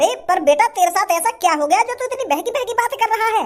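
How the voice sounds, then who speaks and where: An extremely high-pitched cartoonish character voice races along at a very fast pace. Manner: fatherly, kindly.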